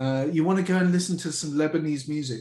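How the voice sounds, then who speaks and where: A man's fairly high voice with a London accent, dark, mellow tone, and ordinary pitch variation. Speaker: company founder. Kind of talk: interview.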